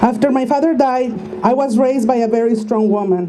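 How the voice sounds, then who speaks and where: The speaker has a Spanish accent, talking at a fairly quick pace with fairly even intonation. Both room echo and background noise are noticeable. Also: woman. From Mexico (Tijuana). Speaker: activist speaker. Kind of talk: speech read aloud at a rally.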